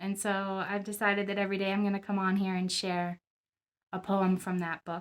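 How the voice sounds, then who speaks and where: A woman at a fairly quick pace, flat and monotone, on a very clean recording with a silent background. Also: medium pitch for a woman. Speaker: poet and visual artist. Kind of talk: casual talk to camera.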